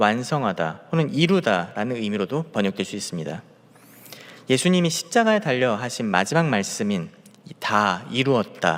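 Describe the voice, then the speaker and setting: Moderate pace and very wide pitch swings in a man's speech. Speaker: junior pastor. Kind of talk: sermon. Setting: church, early morning prayer service. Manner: halting, with self-corrections and repeated words.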